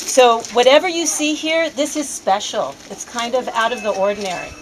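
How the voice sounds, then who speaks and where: A loud, high-pitched female voice with lively intonation over noticeable background noise. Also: moderate pace. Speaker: volunteer. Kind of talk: speech to visitors at an open house.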